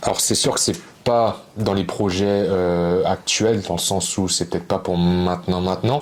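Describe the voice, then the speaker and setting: A man speaks with a very deep, low pitch and fairly even intonation. Noticeable background noise is present. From France and Brazil. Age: 20s. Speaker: YouTuber. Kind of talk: casual chat.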